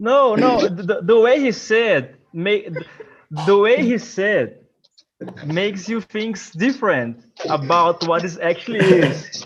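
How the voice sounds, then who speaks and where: A man talks at a very slow pace with a Portuguese accent. His voice sits high in pitch and his intonation is lively. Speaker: English learner. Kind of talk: casual group chat.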